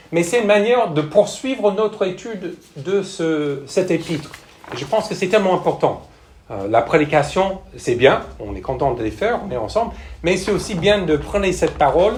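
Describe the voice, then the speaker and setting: Over noticeable background noise and audible room echo, a man with an American accent speaks at a high pitch with lively intonation. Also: moderate pace. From United States. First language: English (speaking French). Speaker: missionary pastor, church planter. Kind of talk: sermon. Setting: church with congregation. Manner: hesitant, frequent fillers.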